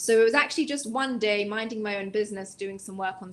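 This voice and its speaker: With an English accent, a woman talks at a very fast pace, her fairly high pitch showing ordinary variation. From England, London. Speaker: non-profit executive director. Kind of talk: interview.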